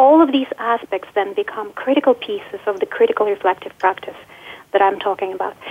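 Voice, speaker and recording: A woman with a fairly high-pitched voice talks while noticeable background noise carries on. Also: ordinary pitch variation, fairly quick pace. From former USSR (Ukraine). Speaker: physics professor. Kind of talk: interview. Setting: radio studio.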